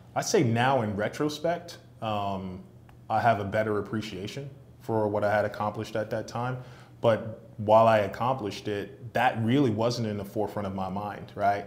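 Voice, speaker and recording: In an ordinary speaking voice, a man with an American accent talks at a moderate pace, fairly low in pitch and fairly even in intonation. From New York City, Brooklyn. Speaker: sales executive and entrepreneur. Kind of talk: interview.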